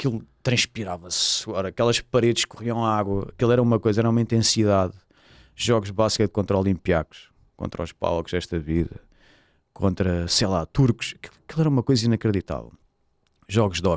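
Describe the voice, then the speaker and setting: A man with a Lisbon accent speaks fairly quickly at a fairly low pitch. His pitch varies in an ordinary way, and the sound is dry and close with no echo. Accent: European Portuguese, Lisbon. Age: 40s. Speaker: football club presidential candidate and sports lawyer. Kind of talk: podcast interview. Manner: hesitant, many fillers and repetitions.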